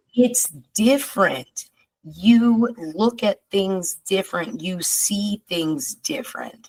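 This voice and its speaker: In a dry, close sound with no echo, a somewhat breathy voice moves at a very slow pace with lively intonation. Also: woman, medium pitch for a woman. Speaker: podcast host. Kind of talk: casual chat.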